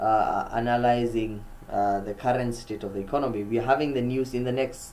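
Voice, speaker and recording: Speaking at a fairly quick pace with fairly even intonation, a man with a medium pitch is heard amid audible room echo. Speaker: forex trader streamer. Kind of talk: live market commentary. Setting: live stream.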